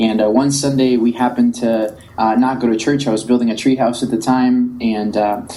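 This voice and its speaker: With a Spanish accent, a man talks at a fairly quick pace with hardly any pauses, his medium pitch held in a monotone, flat intonation. His loudness stays very even over noticeable background noise. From Colombia, then South Florida from age ten. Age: young. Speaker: tech entrepreneur. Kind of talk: podcast interview.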